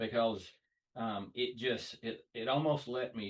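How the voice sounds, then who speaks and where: A man speaks at a fairly slow pace and a medium pitch. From US South. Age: 30s. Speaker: car fabricator. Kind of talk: podcast interview. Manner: hesitant, with many fillers.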